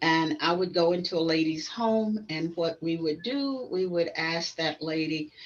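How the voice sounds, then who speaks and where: Noticeable background noise accompanies a woman with a fairly low pitch who speaks at a fairly slow pace, with hardly any pauses and ordinary pitch variation. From US South. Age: 80s+. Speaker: travel agent and entrepreneur. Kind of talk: podcast monologue.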